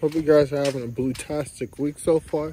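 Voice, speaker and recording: A man speaks quietly at a fairly slow pace, his fairly high pitch held in a fairly even intonation, the sound dry with no echo and light background noise. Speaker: vlogger. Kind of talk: casual vlog. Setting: outdoors in the neighborhood. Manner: repetitive. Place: street. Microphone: phone near.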